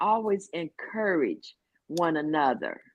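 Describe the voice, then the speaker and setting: A very slow female voice with ordinary pitch variation. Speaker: former life-sentence prisoner. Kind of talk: casual chat.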